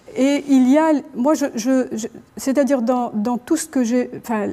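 Fairly even intonation runs through speech delivered at a fairly slow pace. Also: woman. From Algeria. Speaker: ethnomusicologist. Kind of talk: panel discussion. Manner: halting. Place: hall. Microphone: lapel.

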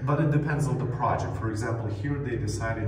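Ordinary pitch variation marks the speech. Audible room echo and light background noise are present. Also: man. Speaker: bunker tour guide. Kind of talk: guided tour explanation. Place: tunnel cave. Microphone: phone near.

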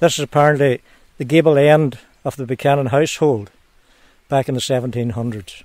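Here a man with a Donegal accent speaks at a fairly slow pace, fairly high in pitch with ordinary pitch variation. The sound is dry with no echo, and the background is quiet. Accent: Donegal Irish. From Ireland, Ramelton, County Donegal. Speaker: local historian. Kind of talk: interview. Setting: outdoors. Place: open country.

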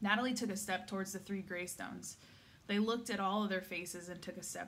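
The delivery is an unforced reading voice. It carries through the whole clip.

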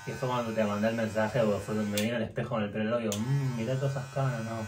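Speech comes at a very fast pace with fairly even intonation. Strong room echo and clear background noise are present. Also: man, fairly low pitch for a man.

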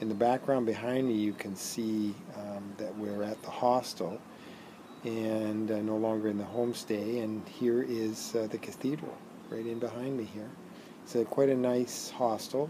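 Noticeable background noise sits under a voice with fairly even intonation at a moderate pace. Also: man. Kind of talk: casual vlog chat. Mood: relaxed, content. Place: garden. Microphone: phone near.

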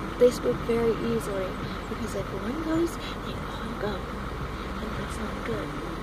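Fairly slow speech over loud background noise. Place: car. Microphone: phone near.

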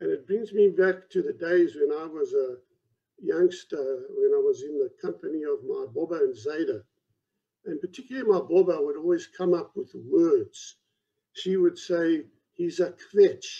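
A man is talking at a moderate pace. Behind him, the background stays quiet. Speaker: presenter. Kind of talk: lecture. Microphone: video call.

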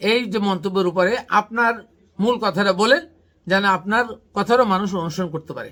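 This man has a high voice with a bright, sharp tone. His pitch varies in an ordinary way. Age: 50s. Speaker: Islamic researcher, channel host. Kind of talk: religious teaching discussion.

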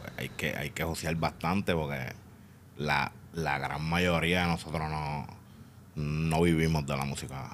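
Over light background noise, a man with a very deep, low pitch speaks at a fairly slow pace in a monotone, flat intonation. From Puerto Rico. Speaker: podcast guest. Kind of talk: casual interview. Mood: reflective, candid. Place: studio. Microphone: studio mic.

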